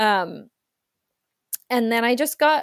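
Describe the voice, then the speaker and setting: In a Canadian accent, a woman speaks at a very slow pace with lively intonation, in a dry, close sound with no echo. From rural British Columbia, Canada. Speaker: theatre creator and storyteller. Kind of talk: casual interview. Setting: remote call.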